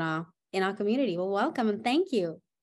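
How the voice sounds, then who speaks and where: With an ordinary speaking voice, a woman of medium pitch talks at a fairly quick pace with lively intonation over a quiet background. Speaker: chamber of commerce president and podcast host. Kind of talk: interview host.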